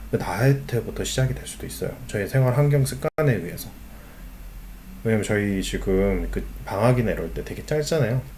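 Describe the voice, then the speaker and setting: A man's lively intonation at a fairly quick pace, with audible room echo. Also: medium pitch for a man. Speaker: school teacher. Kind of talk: online lecture.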